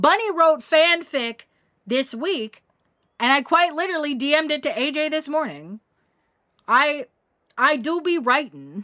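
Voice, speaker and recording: A woman projects a raised voice at a high pitch with a bright, sharp tone and lively intonation. She speaks at a fairly slow pace with long, frequent pauses on a very clean recording with a silent background. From Tennessee. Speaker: gaming streamer. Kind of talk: casual chat. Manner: animated.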